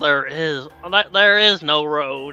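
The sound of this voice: A man's put-on character voice, fairly high in pitch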